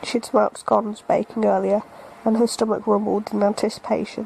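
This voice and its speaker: The speaker talks at a fairly quick pace with a British accent. Noticeable background noise runs underneath. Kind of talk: bedtime story reading.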